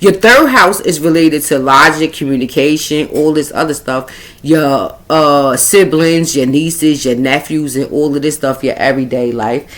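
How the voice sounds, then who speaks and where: A woman with a Brooklyn accent and a very deep, low pitch speaks at a moderate pace with ordinary pitch variation, hardly pausing at all. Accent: New York (Brooklyn). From Brooklyn, New York. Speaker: astrology and spiritual reader. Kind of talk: astrology reading monologue. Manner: halting, tongue-tied.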